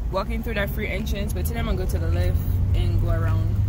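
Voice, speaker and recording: A woman speaks with noticeable background noise. The sound is dry with no echo. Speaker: vlogger. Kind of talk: casual vlog chat. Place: car. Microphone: phone near.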